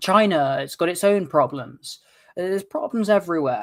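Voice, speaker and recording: This man speaks with a British accent at a moderate pace. His pitch variation is ordinary. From England, London. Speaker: political commentary co-host. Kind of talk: casual chat. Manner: halting.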